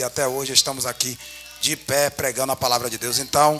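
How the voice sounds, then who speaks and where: With music playing behind him, a man with a fairly high pitch speaks at a fairly quick pace and fairly even intonation. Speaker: preacher. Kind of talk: sermon. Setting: church.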